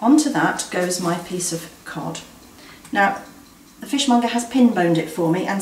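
A woman talking at a moderate pace with ordinary pitch variation, amid light background noise and audible room echo. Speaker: presenter. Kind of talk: cooking tutorial. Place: kitchen.

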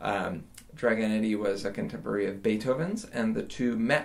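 A man speaks in an unremarkable speaking voice. He has an American accent and a moderate pace. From Western New York (Jamestown); New York. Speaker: orchestral double bassist. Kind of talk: interview. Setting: video call from home studio. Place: home room. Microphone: phone near.

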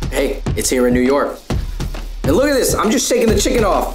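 A man is speaking. Music plays in the background. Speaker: food vlogger. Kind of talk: casual vlog chat.

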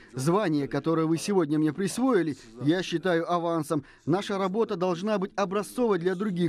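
The man's voice is high in pitch with ordinary pitch variation, at a moderate pace. The sound is dry with no echo, over light background noise. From Kazakhstan. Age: 80s+. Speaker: actor and film director. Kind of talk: formal acceptance speech. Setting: award ceremony. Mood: grateful, solemn. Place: hall. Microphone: podium.

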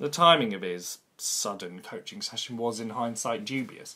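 A man talks at a moderate pace. His pitch variation is ordinary. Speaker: drama graduate actor. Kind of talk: comic monologue, stand-up style; dramatic monologue. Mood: wry, rueful storytelling. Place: home room.

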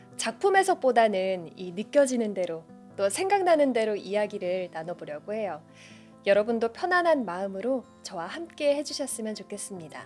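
Over faint background music, a soft-spoken woman talks at a moderate pace, her loudness swinging widely. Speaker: poetry reader, booktuber. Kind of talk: casual talk to listeners between poems. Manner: soft, calm. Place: studio. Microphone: studio mic.

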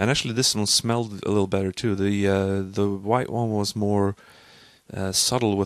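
A man talks at a fairly low pitch with fairly even intonation. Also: quiet background, dry sound with no echo. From Sweden. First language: Swedish. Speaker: vlogger and language student; vlogger. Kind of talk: casual vlog monologue. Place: home room. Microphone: studio mic.

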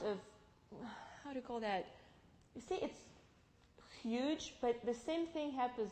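A high-pitched woman in a Russian accent, lively in intonation, with long, frequent pauses and big swings in loudness. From Russia, Novosibirsk (Siberia). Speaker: immigrant giving testimony; guest. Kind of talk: testimony with slide presentation. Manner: halting, many fillers. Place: church. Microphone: headset.

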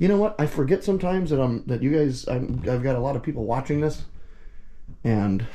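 A man's dark, mellow tone, somewhat breathy. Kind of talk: casual vlog commentary. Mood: joking, wry. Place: garage. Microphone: phone near.

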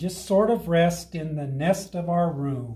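A man speaks in a high, warm voice with ordinary pitch variation. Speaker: fire rescue operations chief and grandfather. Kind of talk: children's story read-aloud over video call. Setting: video call from home. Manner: warm, friendly, conversational. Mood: warm, gentle. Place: meeting room. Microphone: camera far.

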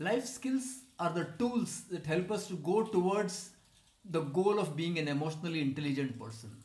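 Heard with audible room echo, a man with a high pitch speaks at a moderate pace. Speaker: presenter. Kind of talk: course promotion talk.

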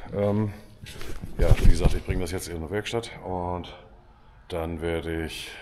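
Over light background noise, a man speaks in a very deep, low pitch. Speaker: farmer vlogger. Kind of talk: casual vlog chat. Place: farm machine. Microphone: phone near.

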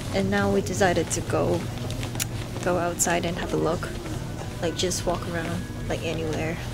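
Clear music plays behind a woman who talks at a moderate pace, leaving long, frequent pauses. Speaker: travel vlogger. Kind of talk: casual vlog chat. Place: shop. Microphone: phone near.

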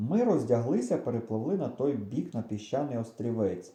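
The voice reads without any forcing.

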